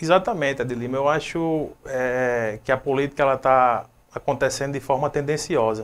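A man with a fairly high voice keeps his intonation fairly even. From Brazil, Rio Grande do Norte interior. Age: 20s. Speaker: city council candidate; council candidate. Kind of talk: interview. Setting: live web TV studio. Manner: hesitant, with many fillers. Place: home room. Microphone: lapel.

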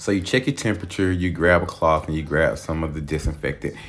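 A man talks in a very deep, low voice with ordinary pitch variation. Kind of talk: casual vlog chat. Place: gym. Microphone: phone near.

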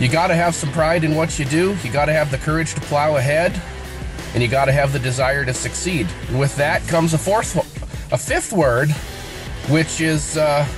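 With clear music in the background and a dry sound with no echo, a man speaks at a very even loudness with ordinary pitch variation and long, frequent pauses. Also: moderate pace. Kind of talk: personal video message. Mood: sincere, reflective. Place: car. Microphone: phone near.

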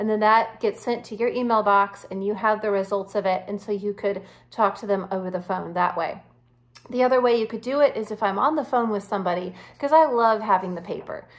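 The speaker is a woman talking at a fairly quick pace with ordinary pitch variation. Her background is quiet. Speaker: wellness coach. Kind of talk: tutorial. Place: home room. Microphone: phone near.

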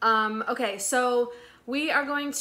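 A woman uses a raised, projected voice with ordinary pitch variation. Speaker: resale vlogger. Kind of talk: casual vlog chat. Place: home room. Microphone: phone near.

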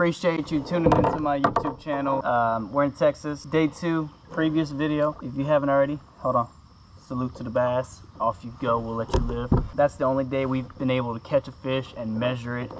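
A man talks at a fairly quick pace while loud background noise fills the recording. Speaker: fishing vlogger. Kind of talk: casual vlog chat. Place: boat. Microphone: camera far.

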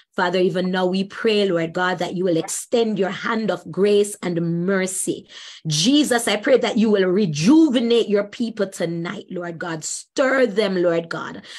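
A woman's medium-pitched, plain, everyday voice at a fairly slow pace, with ordinary pitch variation and hardly any pauses. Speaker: evangelist moderating a Bible study. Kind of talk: scripture reading and moderating. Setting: video call.

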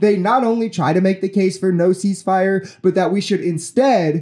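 A man's high-pitched voice in a dark, mellow tone with an American accent, at a moderate pace with hardly any pauses, ordinary pitch variation, very even loudness and a quiet background. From United States. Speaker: political commentary youtuber. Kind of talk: commentary on news clips. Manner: indignant, profane outburst against rich Americans. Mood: critical, earnest. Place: home room. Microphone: studio mic.

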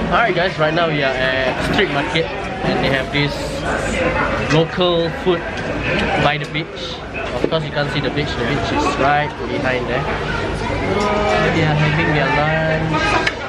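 Crowd noise fills the background as a man speaks. He goes at a fairly slow pace with long, frequent pauses. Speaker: vlogger. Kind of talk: casual vlog chat. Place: market. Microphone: phone near.

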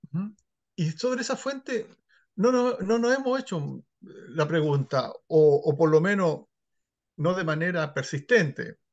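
The speech moves at a very slow pace with very wide pitch swings against a quiet background. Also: man, high pitch for a man. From northern Chile, Iquique; Chile. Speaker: historian and sociologist; interviewee. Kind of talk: interview. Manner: halting, many repeated words. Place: home room. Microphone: video call.

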